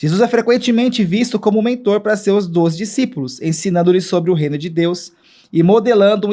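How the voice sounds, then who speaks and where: The tone is dark and mellow in a very clean recording with a silent background. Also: man. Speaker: church podcast host and Bible study leader. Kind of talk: casual Bible study talk. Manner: halting, many repetitions and fillers.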